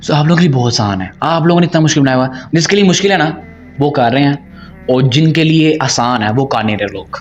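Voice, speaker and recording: Music sounds in the background. A man speaks at a fairly high pitch with lively intonation. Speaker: Islamic preacher and YouTuber. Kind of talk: Q&A session talk. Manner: halting, stumbles while speaking; code-switching Urdu and English.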